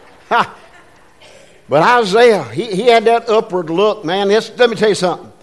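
Noticeable background noise fills the clip. Over it, a man talks in a high pitch. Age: 70s. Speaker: pastor. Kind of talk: sermon. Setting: church. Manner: animated.

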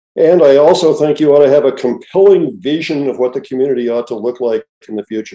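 A man talks at a very fast pace in a fairly high pitch. His tone is dark and mellow, with ordinary pitch variation. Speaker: retired professor and author. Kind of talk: interview. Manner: halting.

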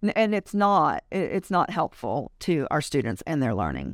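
Heard in a very clean recording with a silent background and a dry, close sound with no echo, a woman with vocal fry speaks at a moderate pace. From Louisiana. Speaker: school board candidate and martial arts school owner. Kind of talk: interview. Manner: animated.

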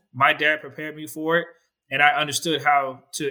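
With a bright, sharp tone and a fairly high pitch, a man speaks at a moderate pace. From military family, grew up in Germany and South Korea, US from 14. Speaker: realtor. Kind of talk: casual interview.

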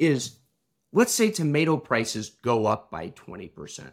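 This man talks with a Midwestern American accent and very wide pitch swings. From US Midwest, Illinois. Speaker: tech company founder, former restaurant operator. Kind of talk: interview conversation.

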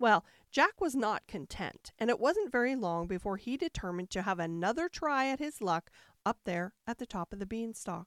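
In a very clean recording with a silent background and a dry, close sound free of echo, a woman with a fairly high voice speaks at a moderate pace in an animated, dramatic tone with very wide pitch swings. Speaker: bedtime story narrator. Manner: animated, dramatic, soothing.

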